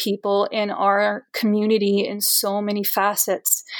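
A woman talks at a medium pitch. Her recording is very clean, and the background is silent. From Brazil. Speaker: actor and arts advocate. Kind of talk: podcast interview.

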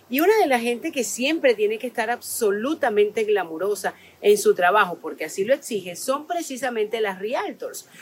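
Animated in tone, a woman talks at a moderate pace in a fairly high voice with lively intonation and hardly any pauses. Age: 50s. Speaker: podcast host. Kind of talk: casual interview. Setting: outdoors in a botanical garden.

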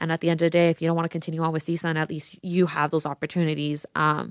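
In a dry, close sound with no echo, a woman talks at a fairly low pitch on a very clean recording with a silent background. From Las Vegas, Nevada. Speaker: student body vice president, podcast co-host. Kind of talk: casual chat.

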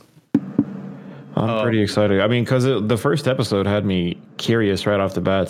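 A man speaks at a moderate pace in a fairly low pitch, with lively intonation and very even loudness. He hardly pauses, and music plays in the background. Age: 20s. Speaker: podcast co-host. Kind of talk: casual chat.

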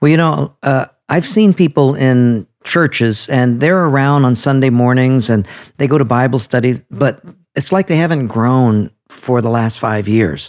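On a very clean recording with a silent background, a man with an unremarkable speaking voice uses lively intonation at a medium pitch and fairly slow pace. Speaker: pastor. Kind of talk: casual interview conversation.

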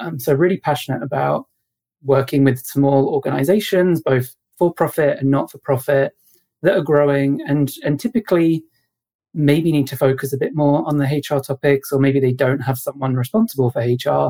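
A man with a British accent, fairly high-pitched, in a dark, mellow tone with ordinary pitch variation, at a moderate pace. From UK. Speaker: HR consultant. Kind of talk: interview.

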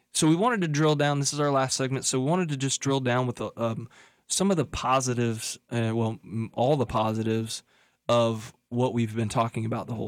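In a very clean recording with a silent background, a man with an ordinary speaking voice talks at medium pitch and a fairly quick pace with fairly even intonation. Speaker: financial planner and radio host. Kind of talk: casual chat. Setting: studio.

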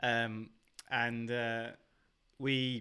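A man with a southern English accent and a bright, sharp tone, in a very clean recording with a silent background. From southern England. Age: 30s. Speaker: podcast guest. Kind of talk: casual chat.

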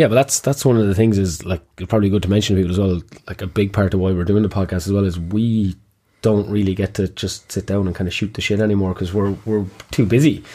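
A man with a fairly low pitch and a dark, mellow tone talks very fast. The recording is very clean, with a silent background. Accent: Kilkenny. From Kilkenny, Ireland. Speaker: gym owner and podcast host. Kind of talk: casual chat, podcast intro. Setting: studio. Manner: animated, joking.

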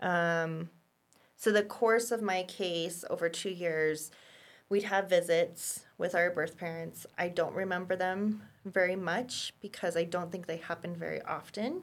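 A woman with an ordinary speaking voice talks fairly slowly at a fairly low pitch with fairly even intonation, on a very clean recording with a silent background. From Colorado, US. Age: 30s. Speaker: caseworker and former foster youth. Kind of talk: interview, personal testimony.

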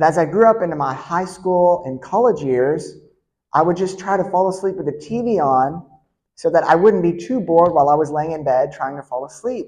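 With a plain, everyday voice, a man speaks at a moderate pace with a fairly high pitch and lively intonation. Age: 30s. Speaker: pastor. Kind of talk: sermon. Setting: church.

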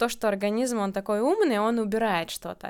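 A plain, everyday voice from a woman, fairly high in pitch with ordinary pitch variation, on a very clean recording with a silent background. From Latvia, Riga. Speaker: birth-date numerology consultant. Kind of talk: casual interview.

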